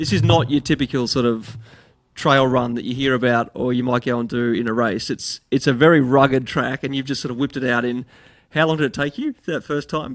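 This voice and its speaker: At a fairly quick pace, a man speaks in a normal speaking voice with a medium pitch and fairly even intonation. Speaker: podcast host. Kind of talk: podcast interview questions.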